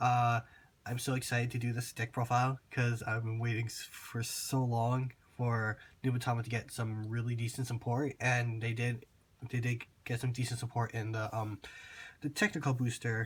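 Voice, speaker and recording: His somewhat breathy voice carries a monotone, flat intonation as a man speaks. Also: medium pitch for a man, moderate pace. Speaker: card game video creator. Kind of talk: tutorial. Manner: casual with many fillers.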